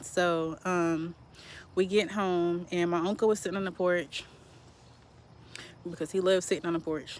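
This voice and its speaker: A woman's fairly low voice at a moderate pace with fairly even intonation. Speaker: survivor of family homicide. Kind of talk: testimony.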